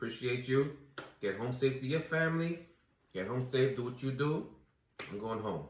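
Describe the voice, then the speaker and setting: With an American accent, a man speaks at medium pitch and a moderate pace, somewhat breathy, with ordinary pitch variation, long and frequent pauses, and audible room echo. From US Virgin Islands, Saint Croix. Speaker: recording artist. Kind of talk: casual chat.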